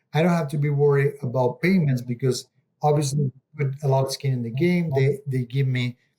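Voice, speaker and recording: Speaking in an Argentine accent, a man has a medium pitch, a dark, mellow tone, a somewhat breathy voice, fairly even intonation and a moderate pace. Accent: Argentinian Spanish-accented English. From Argentina. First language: Spanish. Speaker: real estate investor. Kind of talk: interview. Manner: halting, with fillers.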